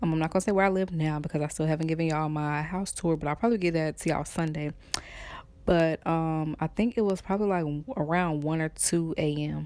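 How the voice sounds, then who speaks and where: This woman has a slight Atlanta accent and a very deep, low pitch. She talks at a very fast pace with fairly even intonation. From Atlanta, Georgia, US South. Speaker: YouTuber. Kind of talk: storytime vlog. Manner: trying to speak properly.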